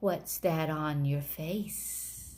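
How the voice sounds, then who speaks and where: A put-on character voice pitched low to middle. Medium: read story. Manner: sly, purring, mocking.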